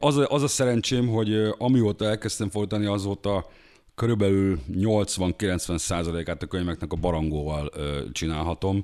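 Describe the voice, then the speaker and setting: The tone is dark and mellow. Pitch moves in an ordinary way. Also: man, fairly low pitch for a man, moderate pace. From Hungary. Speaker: book translator and music journalist. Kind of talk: casual interview chat.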